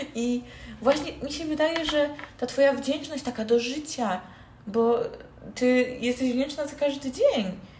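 A high-pitched woman at a fairly slow pace, with ordinary pitch variation, long, frequent pauses, and noticeable background noise. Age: young. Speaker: podcast host. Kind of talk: casual chat. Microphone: poor built-in mic, low quality.

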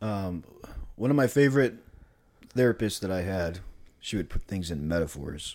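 Speaking at a moderate pace with long, frequent pauses, a man uses lively intonation in a very deep, low voice. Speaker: podcast host. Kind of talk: casual conversation. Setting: at a friend's home.

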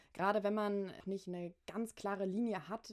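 At a fairly slow pace, a woman talks in a medium pitch with a normal speaking voice. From Hamburg, northern Germany. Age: 20s. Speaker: podcast host and university student. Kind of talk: casual interview.

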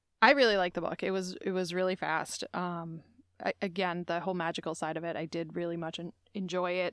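In a very clean recording with a silent background, a woman speaks in a normal speaking voice at a fairly quick pace, her intonation fairly even. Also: fairly low pitch for a woman. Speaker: podcast host. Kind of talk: casual chat.

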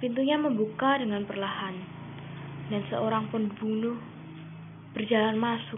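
Long, frequent pauses break up fairly slow speech that has ordinary pitch variation over noticeable background noise. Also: woman, fairly high pitch for a woman. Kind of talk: ghost story telling, creepypasta read aloud.

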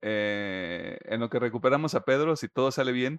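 A man's medium-pitched, normal speaking voice at a fairly slow pace, with ordinary pitch variation and a dry, close sound with no echo. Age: 20s. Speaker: podcast host. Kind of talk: news reading; casual chat.

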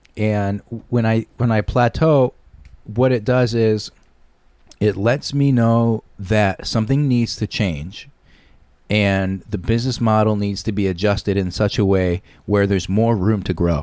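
A man speaks at a fairly slow pace with a Northeastern US accent and ordinary pitch variation. The recording is very clean, with a silent background. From Connecticut (Shelton). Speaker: recording studio owner and voice actor. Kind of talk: casual chat. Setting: studio.

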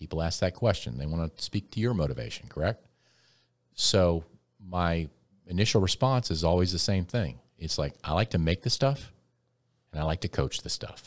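A man with an American accent and a very deep, low pitch, lively intonation at a moderate pace, long, frequent pauses, and a dry, close sound with no echo on a very clean recording with a silent background. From US South, New Orleans. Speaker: TV news director. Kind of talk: casual interview. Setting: podcast studio.

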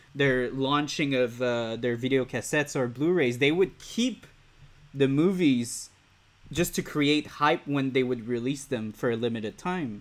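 A man speaks with a Quebec accent. His pitch is medium and varies in an ordinary way. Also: fairly slow pace. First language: French. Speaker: podcast host. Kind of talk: interview. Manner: halting, many fillers.

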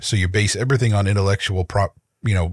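Recorded very cleanly against a silent background, with a dry, close sound and no echo, a man speaks at a fairly quick pace in a fairly low, somewhat breathy voice with fairly even intonation. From rural area, not a city. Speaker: podcast co-host. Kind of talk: casual chat.

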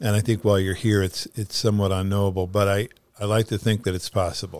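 A man speaks fairly quickly in a fairly low pitch, his intonation monotone and flat. The recording is very clean, the background silent. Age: 70s. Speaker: podcast host. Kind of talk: casual chat.

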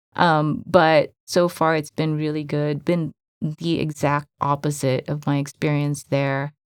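Soft-spoken and at a fairly slow pace, a woman talks with a very deep, low pitch and monotone, flat intonation in a dry, close sound with no echo. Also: very clean recording, silent background. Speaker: podcast co-host in tech. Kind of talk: casual chat. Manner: hesitant, many fillers.

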